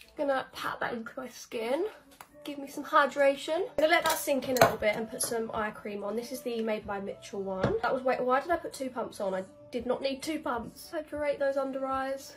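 A woman's high-pitched voice at a fairly quick pace, ordinary pitch variation and big swings in loudness, over noticeable background noise. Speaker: beauty content creator. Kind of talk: tutorial. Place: home room. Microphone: phone near.

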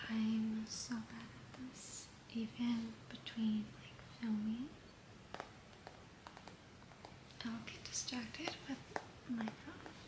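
Over noticeable background noise, a soft-spoken woman talks at a very slow pace with long, frequent pauses. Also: big swings in loudness. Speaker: vlogger. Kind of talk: casual vlog chat, relaxing bedtime style. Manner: soft, hushed ASMR murmur while lying down. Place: home room. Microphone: phone near.

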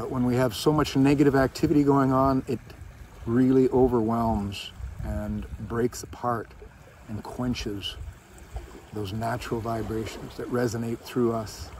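Light background noise accompanies a dry sound with no echo, as the speaker goes at a fairly slow pace with long, frequent pauses and ordinary pitch variation. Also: man. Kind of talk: reflective encouragement talk. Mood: calm, soothing. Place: beach. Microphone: phone near.

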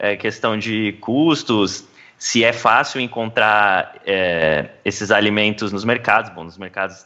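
Over a quiet background, a man with a bright, sharp, fairly low voice speaks at a very slow pace, with ordinary pitch variation and big swings in loudness. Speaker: podcast host.

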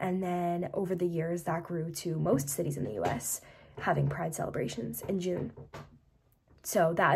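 A somewhat breathy woman with an American accent talks at a moderate pace with ordinary pitch variation. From United States. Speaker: history YouTuber. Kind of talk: casual educational talk to camera.

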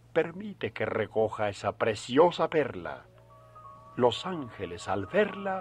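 Over faint background music, a man talks at a very slow pace with very wide pitch swings. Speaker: radio announcer. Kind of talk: poetry reading on radio. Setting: old radio broadcast. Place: studio. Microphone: old recording.

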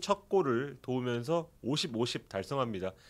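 Speaking fairly slowly, the man uses a lively intonation. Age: 40s. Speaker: sports journalist. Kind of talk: sports review discussion. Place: studio. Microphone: studio mic.

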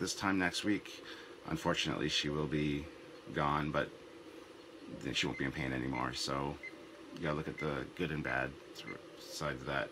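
Over noticeable background noise, a man with a very deep, low voice talks at a moderate pace. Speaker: web series host. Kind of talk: casual talk to camera.

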